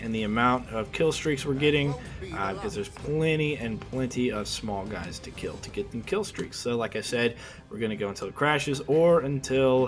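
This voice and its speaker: Spoken with an American accent and ordinary pitch variation, the voice sits over noticeable background noise. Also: man. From US Midwest, Kansas City area. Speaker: video game streamer. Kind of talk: gameplay commentary. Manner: fast; casual, hesitant with fillers.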